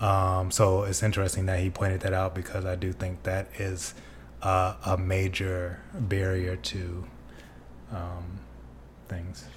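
The speaker is soft-spoken and somewhat breathy, moving at a fairly slow pace with long, frequent pauses and ordinary pitch variation. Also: man, very deep, low pitch for a man. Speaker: podcast co-host. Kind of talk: casual chat.

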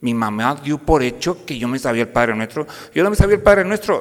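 A man's speech moves at a moderate pace with very wide pitch swings. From northern Mexico, Piedras Negras, Coahuila (border town). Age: 50s. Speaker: university professor and lay speaker. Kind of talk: parish talk to parents.

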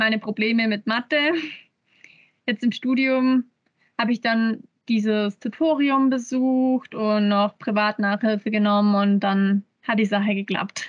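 A woman speaks fairly slowly in a fairly high, somewhat breathy voice, with long, frequent pauses. Her intonation is fairly even and her loudness very even. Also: dry, close sound with no echo. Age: 20s. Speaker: university student. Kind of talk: interview.

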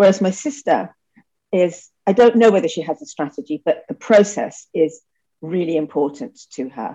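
With a dark, mellow tone, a woman talks at a moderate pace using very wide pitch swings. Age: 60s. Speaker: charity founder. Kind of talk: interview conversation.

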